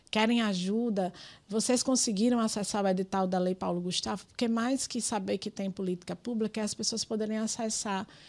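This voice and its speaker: At a fairly quick pace, a woman with an ordinary speaking voice talks in a medium pitch with fairly even intonation. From Brazil, Rio Grande do Norte (Pedro Avelino). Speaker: politician and community activist. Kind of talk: podcast interview.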